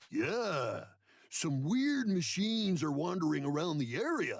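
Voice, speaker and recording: A man's put-on character voice, high-pitched, with very wide pitch swings at a fairly slow pace. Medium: video game. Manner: folksy, hesitant.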